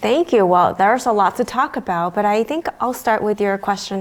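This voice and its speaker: Over noticeable background noise, a woman in an American accent speaks at a moderate pace and medium pitch with lively intonation. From China until age 8, then US. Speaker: pediatrician. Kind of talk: interview. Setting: venue interview.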